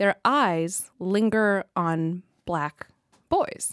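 On a very clean recording with a silent background and a dry, close sound with no echo, a woman with an American accent speaks at a medium pitch. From Southern California. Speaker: lawyer. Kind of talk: casual chat.

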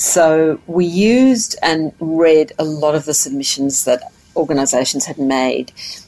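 The speech moves at a fairly slow pace with lively intonation, and there is noticeable background noise. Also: woman, very deep, low pitch for a woman. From Tasmania, Australia. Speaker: mental health policy director. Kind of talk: interview.

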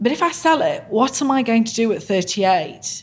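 A woman speaks in a somewhat breathy voice. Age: 40s. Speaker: brand founder. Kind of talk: interview. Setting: studio.

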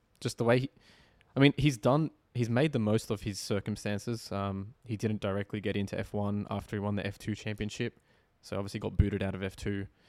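The sound is dry and close with no echo as a man with an unremarkable speaking voice talks at a fairly low pitch with fairly even intonation. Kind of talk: casual chat.

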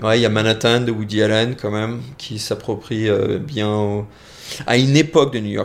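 A man speaks in an ordinary speaking voice at medium pitch. His pace is moderate, with fairly even intonation. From France. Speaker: visual effects professional. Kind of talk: casual interview.

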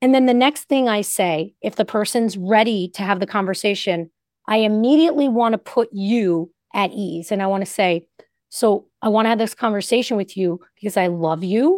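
Recorded very cleanly against a silent background, a woman talks at a moderate pace with a fairly high pitch, ordinary pitch variation and a dry, close sound with no echo. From US Northeast. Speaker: therapist and podcast host. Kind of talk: advice podcast discussion. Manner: limited pitch range, nurturing when advising.

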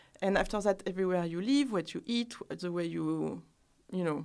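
The speech comes in a strong French accent at a moderate pace, with ordinary pitch variation. The recording is very clean, with a silent background. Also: woman. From France. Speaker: skincare brand founder. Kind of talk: casual interview.

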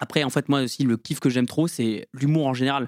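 Fairly quick speech comes through on a very clean recording with a silent background and a dry, close sound with no echo. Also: man. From Lorraine, France. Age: 20s. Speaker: stand-up comedian and engineering student. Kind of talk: casual interview chat. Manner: fast.

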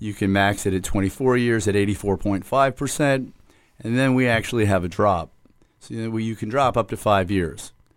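A plain, everyday voice with an American accent and ordinary pitch variation. The pace is fairly quick. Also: man, fairly low pitch for a man. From South Florida, Hollywood. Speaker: police detective, recruiter. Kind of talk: radio interview.

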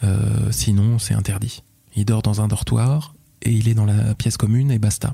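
The voice has a dark, mellow tone and sounds somewhat breathy. Its intonation stays fairly even. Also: man. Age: 30s. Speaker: father sharing his story. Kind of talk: personal testimony interview. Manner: halting, repeats words; articulate storyteller.

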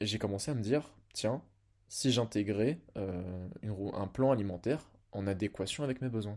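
With ordinary pitch variation and a fairly low pitch, a man talks at a moderate pace. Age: 20s. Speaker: fitness podcaster. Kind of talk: personal monologue. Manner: hesitant, many fillers.

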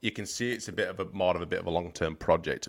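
A man with a Yorkshire accent speaks at a very fast pace in a very clean recording with a silent background. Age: 30s. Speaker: football podcast co-host. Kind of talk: casual chat.

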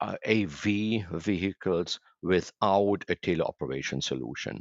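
A man with a German accent, very deep and low in pitch, with vocal fry. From Germany. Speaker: tech company chairman. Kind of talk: interview. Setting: remote call. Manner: halting, many fillers.

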